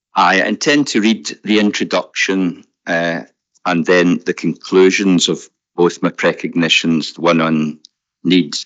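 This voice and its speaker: A man with a Scottish accent, very deep and low in pitch, fairly slow in pace, with ordinary pitch variation. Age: 70s. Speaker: objector at a public inquiry. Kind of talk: reading a formal statement at a public inquiry. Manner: formal; halting with fillers.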